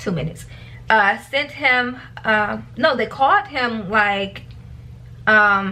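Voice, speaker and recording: A woman speaks at a fairly high pitch with ordinary pitch variation. She has a plain, everyday voice. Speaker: vlogger / trader. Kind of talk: casual vlog warning. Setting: self-recorded video.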